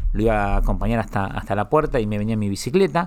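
Talking at a very fast pace, a man holds a medium pitch. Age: 40s. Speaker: media entrepreneur. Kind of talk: interview. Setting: studio.

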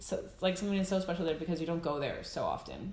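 Noticeable background noise behind a woman's fairly low voice. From United States. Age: 20s. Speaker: content creator and photographer living in Iceland. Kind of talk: casual interview chat.

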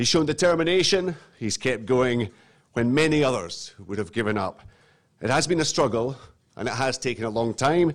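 A man with medium pitch speaks at a moderate pace. His intonation is lively, and his is an ordinary speaking voice. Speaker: master of ceremonies. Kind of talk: ceremony introductions. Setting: stage with audience. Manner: formal.

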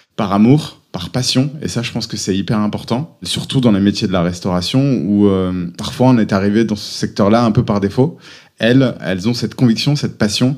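A man's fairly low voice, a plain, everyday voice, at a moderate pace with ordinary pitch variation. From France, Auvergne. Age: 30s. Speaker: entrepreneur. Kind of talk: interview.

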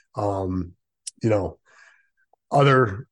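The background is quiet. A man speaks in a somewhat breathy voice. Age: 50s. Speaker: sports podcast host. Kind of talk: casual listener Q&A podcast.

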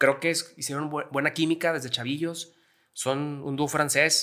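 This man talks at a moderate pace in an unremarkable speaking voice, his pitch fairly high. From Mexico, Gómez Palacio, Durango (La Laguna region). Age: 30s. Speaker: rock music fan. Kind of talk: casual chat.

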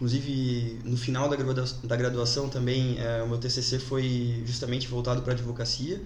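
A man speaks at a moderate pace and medium pitch, monotone and flat, with very even loudness and hardly any pauses. Audible room echo and noticeable background noise surround him. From Brazil, Jaraguá do Sul, Santa Catarina. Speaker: lawyer. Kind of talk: casual interview. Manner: halting, many fillers.

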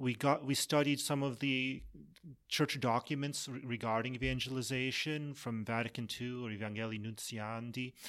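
An unremarkable speaking voice with an American accent, fairly even intonation and a moderate pace, on a very clean recording with a silent background. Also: man, medium pitch for a man. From Massachusetts. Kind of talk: interview.

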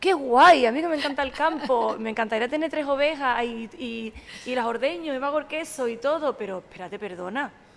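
A woman with a high pitch talks at a fairly quick pace. Her intonation is lively. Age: 40s. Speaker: sommelier and social media communicator. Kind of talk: casual chat.

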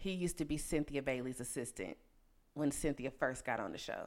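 In a very clean recording with a silent background, a woman speaks in an animated tone with very wide pitch swings. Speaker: podcast host. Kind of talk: casual chat.

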